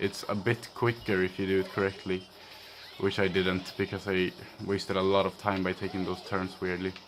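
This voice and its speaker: A man with a very deep, low pitch, a monotone, flat intonation, a moderate pace and a Swedish accent. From Sweden. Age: young. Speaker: gaming youtuber. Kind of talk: let's play commentary. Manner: casual, hesitant with fillers.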